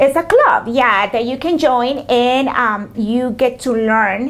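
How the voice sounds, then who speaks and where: Over noticeable background noise, a woman with a Spanish accent talks at a fairly slow pace in a high pitch with fairly even intonation. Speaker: small business owner. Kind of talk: interview. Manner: hesitant, many fillers.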